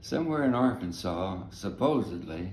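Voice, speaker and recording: A man in a Texan accent speaks at a fairly slow pace with vocal fry, and room echo is audible. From Texas. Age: 80s+. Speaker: navy veteran and family storyteller. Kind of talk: oral history storytelling. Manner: halting.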